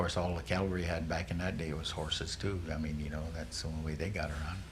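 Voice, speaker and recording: A man talks at a very fast pace in a very deep, low pitch with fairly even intonation. Noticeable background noise and audible room echo surround his voice. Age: 70s. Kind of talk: oral history interview. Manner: halting, many fillers and restarts.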